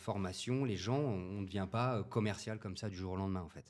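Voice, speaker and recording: A man with a fairly low pitch and ordinary pitch variation talks at a fairly quick pace on a very clean recording with a silent background. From France, Paris region. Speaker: podcast guest. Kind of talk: casual interview. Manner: hesitant, many fillers.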